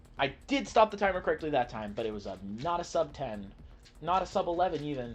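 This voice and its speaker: A man's very fast, American-accented delivery at a fairly high pitch, with very wide pitch swings, big swings in loudness and music in the background. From United States. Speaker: cubing livestreamer. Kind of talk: casual livestream chat while solving. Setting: live stream reading chat.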